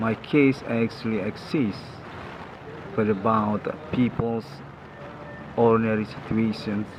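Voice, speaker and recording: A man with a non-native accent and a fairly low voice speaks at a fairly slow pace against noticeable background noise. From Indonesia. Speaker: channel owner reporting personal experiences. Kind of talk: personal monologue report. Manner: halting.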